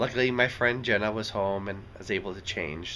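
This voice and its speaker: Light background noise accompanies a man with a fairly low pitch. He speaks at a moderate pace with ordinary pitch variation. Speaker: vlogger. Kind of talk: casual vlog chat. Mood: relaxed, content. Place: home room. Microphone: phone near.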